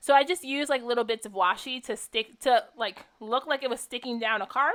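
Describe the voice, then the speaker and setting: A woman in a high pitch talks at a fairly quick pace. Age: 20s. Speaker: craft video creator. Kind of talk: tutorial. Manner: casual, filler-heavy.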